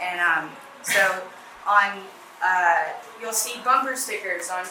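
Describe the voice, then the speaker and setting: Recorded with audible room echo and noticeable background noise, a woman talks at a fairly slow pace, her medium pitch showing ordinary variation. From New England, New Hampshire. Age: 20s. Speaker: university student. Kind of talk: presentation.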